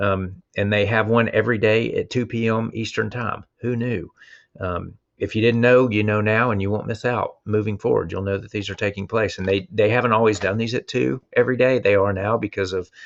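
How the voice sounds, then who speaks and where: Speaking with a Southern US accent, a man talks at a fairly quick pace with a fairly low pitch and fairly even intonation. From US South. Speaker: instructional technology coach. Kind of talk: online presentation. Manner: casual, hesitant with fillers.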